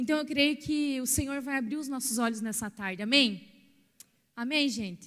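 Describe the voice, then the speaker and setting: At a moderate pace, a woman with a high pitch speaks with ordinary pitch variation in a very clean recording with a silent background. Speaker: pastor. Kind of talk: sermon.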